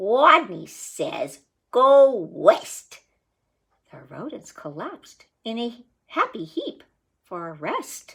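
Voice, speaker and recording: Squeaky and high-pitched, a woman's put-on character voice is raised and projected. She goes at a very slow pace with very wide pitch swings. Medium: read story.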